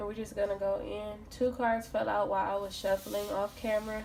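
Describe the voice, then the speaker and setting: The speech moves at a fairly quick pace with monotone, flat intonation. Background noise is noticeable. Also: woman. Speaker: tarot reader. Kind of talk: tarot reading monologue. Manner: casual, conversational.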